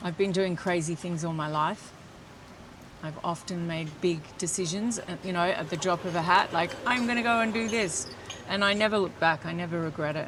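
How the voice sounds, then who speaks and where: With an Australian accent, a woman talks at a moderate pace and a fairly low pitch with ordinary pitch variation, against noticeable background noise. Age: 60s. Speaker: metabolic health coach. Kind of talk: interview answer.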